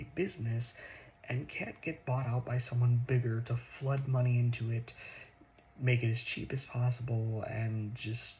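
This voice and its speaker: A soft-spoken man talks at a medium pitch and a moderate pace. His voice is somewhat breathy, with fairly even intonation. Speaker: ASMR creator. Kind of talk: ASMR political talk.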